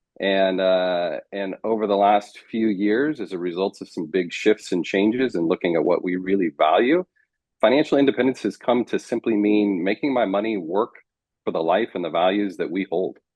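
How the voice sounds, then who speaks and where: At a moderate pace, a man speaks with an American accent and ordinary pitch variation. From United States. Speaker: marriage coach. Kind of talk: interview.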